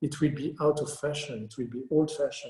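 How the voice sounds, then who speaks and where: A man's somewhat breathy, dark, mellow voice at a fairly high pitch, with audible room echo. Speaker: landscape architect. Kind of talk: Q&A after lecture.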